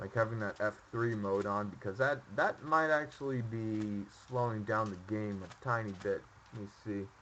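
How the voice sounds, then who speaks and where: Quietly and with hardly any pauses, a man speaks at a moderate pace and fairly low pitch, his tone bright and sharp and his pitch varying in an ordinary way. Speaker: streamer. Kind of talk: casual gameplay commentary. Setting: home microphone.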